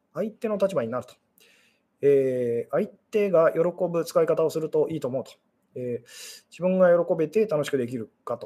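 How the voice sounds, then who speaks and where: With lively intonation, a man speaks in a high pitch and a dark, mellow tone. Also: big swings in loudness. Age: 40s. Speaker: fortune teller and love psychology streamer. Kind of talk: solo live stream talk. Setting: live stream. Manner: fast. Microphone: unstable connection.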